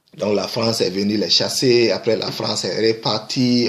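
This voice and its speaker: Over noticeable background noise, a man speaks at a fairly slow pace. His medium pitch shows ordinary variation. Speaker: video blogger. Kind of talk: commentary monologue. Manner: halting.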